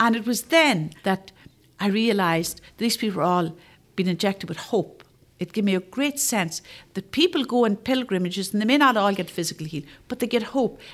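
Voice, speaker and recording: With a Northern Irish accent, a woman at a medium pitch speaks fairly quickly with lively intonation. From Northern Ireland, Armagh. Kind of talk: faith testimony interview.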